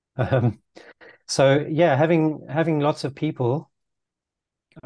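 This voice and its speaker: Over a quiet background, a man's voice carries a dark, mellow tone. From Zimbabwe. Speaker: road safety advocate and YouTuber. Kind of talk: casual interview chat.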